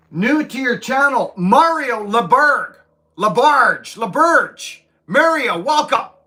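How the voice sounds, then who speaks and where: Shouting in a raised, projected voice, a man with an extremely high pitch and a bright, sharp tone speaks at a very slow pace with lively intonation. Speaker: livestreamer, tree climber/arborist. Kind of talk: casual live stream chat reading comments. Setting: livestream from home. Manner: loud, shouting; animated.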